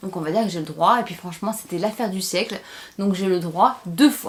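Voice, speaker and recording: Her tone animated, a woman speaks. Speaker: beauty and lifestyle YouTuber. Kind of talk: unboxing vlog with story time.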